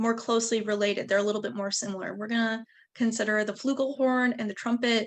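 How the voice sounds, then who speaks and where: In a Western New York accent, a woman speaks at a fairly quick pace with a fairly high pitch. Her intonation is fairly even, and the background is quiet. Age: 20s. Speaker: music educator. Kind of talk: lecture.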